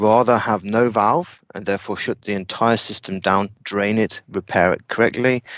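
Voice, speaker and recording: Using an unremarkable speaking voice, a man talks at a moderate pace with hardly any pauses, fairly even intonation and a fairly low pitch. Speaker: technical trainer. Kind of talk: lecture.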